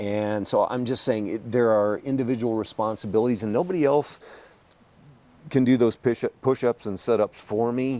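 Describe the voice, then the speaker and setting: At a moderate pace, a man speaks with a medium pitch that varies in an ordinary way. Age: 60s. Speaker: state politician. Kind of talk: podcast interview. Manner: animated.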